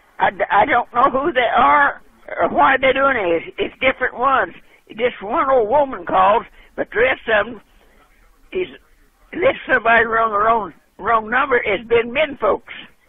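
A man talks in an extremely high pitch at a moderate pace. His speech has long, frequent pauses. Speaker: caller. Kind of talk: phone conversation, complaint. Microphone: phone line.

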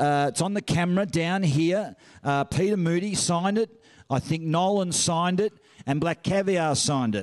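Against a quiet background, a man with an Australian accent speaks in a high voice with ordinary pitch variation. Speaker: auctioneer and master of ceremonies. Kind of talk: charity auction calling. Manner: fast, upbeat. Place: hall. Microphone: handheld.

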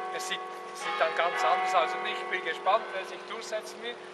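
Over noticeable background noise, a man speaks at a high pitch with lively intonation. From Switzerland. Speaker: former mayor giving a city tour. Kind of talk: guided tour talk. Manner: hesitant, many fillers. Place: street. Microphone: camera far.

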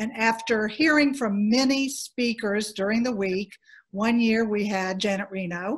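A woman with an American accent speaks at a moderate pace in a fairly high, somewhat breathy voice. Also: quiet background. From US South. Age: 60s. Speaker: former organization president; former council president, panelist. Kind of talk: panel discussion. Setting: video call. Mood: warm, amused storytelling. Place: home room. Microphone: video call.

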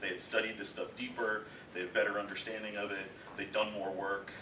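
Noticeable noise fills the background as a man talks at a very rapid clip. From Eastern Ontario, Canada. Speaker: homeschooling parent giving a talk. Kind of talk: informal talk to a group. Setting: presentation with audience.

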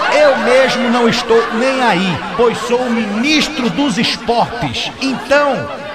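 A man speaks at a very slow pace with hardly any pauses, his pitch extremely high and its variation ordinary. Crowd noise runs in the background. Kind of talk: stand-up comedy parody. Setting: stage, bar stand-up.

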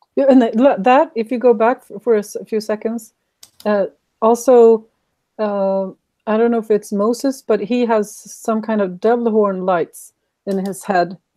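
A woman's fairly high voice with a dark, mellow tone, fairly even intonation and a fairly slow pace. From Sweden. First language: Swedish. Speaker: YouTube creator. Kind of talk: casual interview chat.

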